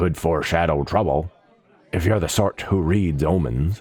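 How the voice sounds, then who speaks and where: A man puts on a growling character voice, very deep and low in pitch, at a moderate pace. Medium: read story.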